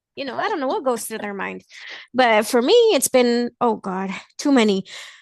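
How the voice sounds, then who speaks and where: Recorded with a dry, close sound with no echo and a quiet background, a woman with a fairly high pitch speaks with a slight Mexican accent. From Mexico (Veracruz), then Los Angeles from age five. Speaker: blind guest sharing experiences and recipes. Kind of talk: casual interview chat. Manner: animated.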